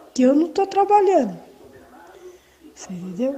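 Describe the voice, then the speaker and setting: Noticeable background noise runs through this clip. Over it, a woman talks. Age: 60s. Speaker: caller. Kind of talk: question to guest.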